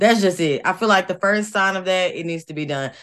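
A woman with a plain, everyday voice speaks at a medium pitch with ordinary pitch variation against a quiet background. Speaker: co-host. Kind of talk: casual chat.

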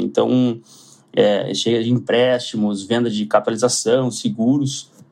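A man speaks with a Porto Alegre accent. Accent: gaúcho accent from Porto Alegre. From southern Brazil, Porto Alegre. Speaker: asset management executive. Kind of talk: podcast interview. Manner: halting, with frequent repetitions.

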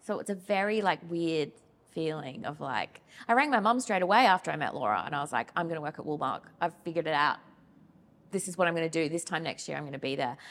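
Talking at a very fast pace with lively intonation, a woman uses a fairly low pitch and an Australian accent. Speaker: wool industry communications manager. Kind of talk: casual interview.

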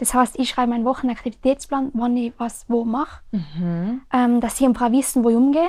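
Recorded very cleanly against a silent background, a woman speaks at a high pitch with a Tyrolean accent. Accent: Tyrolean Austrian German. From Austria, Tyrol (Oberland, Zams). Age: 20s. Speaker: mountain bike racer. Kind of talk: casual interview.

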